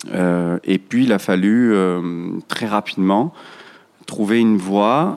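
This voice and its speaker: A man talks with ordinary pitch variation and a very slow pace. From Marseille, France. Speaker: restaurant chain founder. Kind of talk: interview conversation. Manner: hesitant, many fillers and repetitions.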